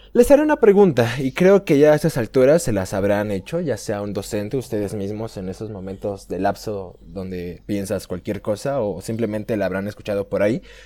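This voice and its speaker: With a Mexican accent, a man speaks in a dark, mellow tone at fairly low pitch, with ordinary pitch variation and hardly any pauses. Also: fairly quick pace. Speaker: podcast host. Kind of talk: casual chat.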